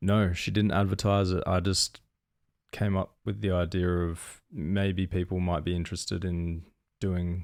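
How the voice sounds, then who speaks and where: Very deep, low pitch from a man with an Australian accent, fairly slow pace and fairly even intonation, on a very clean recording with a silent background. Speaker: podcast co-host. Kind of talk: casual chat.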